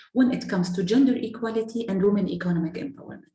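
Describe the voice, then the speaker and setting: A woman's voice carries audible room echo and shows ordinary pitch variation. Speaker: NGO program manager. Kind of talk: panel presentation. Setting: video call.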